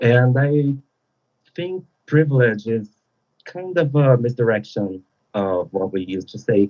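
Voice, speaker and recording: A man speaks at a medium pitch with a dark, mellow tone. His pace is fairly slow and his intonation lively. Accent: Brazilian Portuguese. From Brazil. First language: Portuguese. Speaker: caller. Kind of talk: call-in discussion. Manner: halting.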